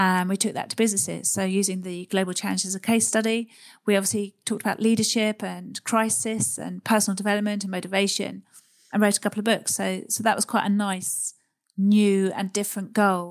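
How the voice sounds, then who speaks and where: A woman with a southern English accent, medium pitch and fairly even intonation, in a very clean recording with a silent background. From southern England, Surrey. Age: middle-aged. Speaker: adventurer and psychologist. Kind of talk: interview conversation.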